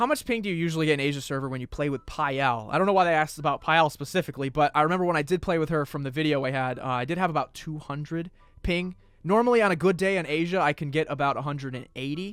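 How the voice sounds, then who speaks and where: On a very clean recording with a silent background, a man speaks in a normal speaking voice, fairly high in pitch, with ordinary pitch variation. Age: 20s. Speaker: gaming youtuber. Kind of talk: casual Q&A chat. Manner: casual, filler-heavy.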